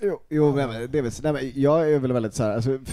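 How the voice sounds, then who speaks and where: A dark, mellow voice moves at a very fast pace over a quiet background. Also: man. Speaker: podcast host. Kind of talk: casual chat. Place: home room. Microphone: handheld.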